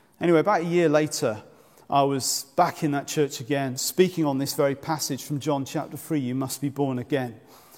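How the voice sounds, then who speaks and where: Fairly high in pitch, a man speaks in a plain, everyday voice. He talks at a fairly quick pace with fairly even intonation. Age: 40s. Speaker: preacher. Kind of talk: sermon.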